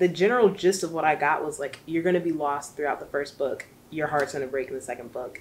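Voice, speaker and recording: A woman talks at a very fast pace with a very deep, low pitch and ordinary pitch variation. Light background noise can be heard. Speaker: book vlogger. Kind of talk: casual vlog chat. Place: home room.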